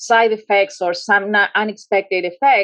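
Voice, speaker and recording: A woman at medium pitch with a Spanish accent, at a moderate pace. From Argentina, Rosario. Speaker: public health researcher and former pediatrician. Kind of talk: panel conversation. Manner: halting, many fillers.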